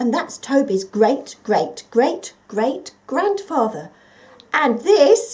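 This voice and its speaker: A woman's put-on character voice, warm and gentle in tone, high-pitched, very slow, with very wide swings in pitch. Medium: read story. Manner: warm, gentle.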